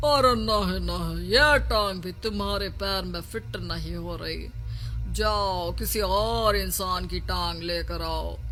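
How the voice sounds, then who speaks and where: A man does a put-on character voice at a fairly slow pace. Clear background noise runs behind him. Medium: read story.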